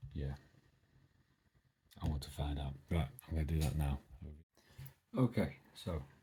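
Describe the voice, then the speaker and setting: A soft-spoken man with a British accent, very deep, low pitch, vocal fry, a dark, mellow tone, ordinary pitch variation and long, frequent pauses. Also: fairly slow pace. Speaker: DIY electronics hobbyist YouTuber. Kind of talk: casual tutorial.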